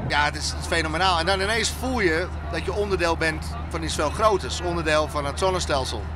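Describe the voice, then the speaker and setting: Dry sound with no echo from a man, with noticeable background noise. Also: fairly quick pace. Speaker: guest. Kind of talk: interview answer. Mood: moved, enthusiastic. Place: plane. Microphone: handheld.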